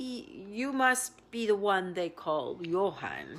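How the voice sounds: In a put-on, squeaky character voice that sounds female, a medium-pitched woman's voice wavers shakily at a very slow pace.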